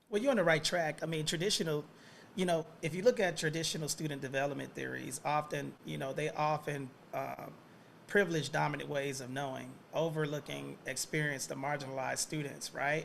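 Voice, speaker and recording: A man with a plain, everyday voice and an American accent talks fairly quickly, fairly high in pitch, with ordinary pitch variation. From US South, Atlanta. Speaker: professor. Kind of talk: lecture.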